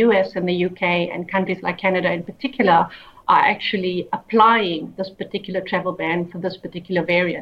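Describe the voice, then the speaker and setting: A woman with a South African accent talks at a fairly quick pace, her medium pitch carrying fairly even intonation. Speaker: human rights lawyer and activist. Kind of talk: interview.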